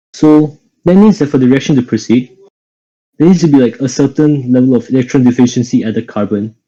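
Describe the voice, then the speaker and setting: With a dark, mellow tone, a man talks very fast at a medium pitch, his pitch varying in an ordinary way. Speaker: chemistry tutor. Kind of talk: online lecture.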